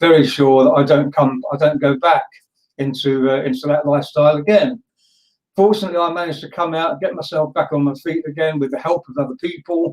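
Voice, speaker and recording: A normal speaking voice at a fairly quick pace with ordinary pitch variation. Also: man. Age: 60s. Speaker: speaker helping young people. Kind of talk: interview answer, life story.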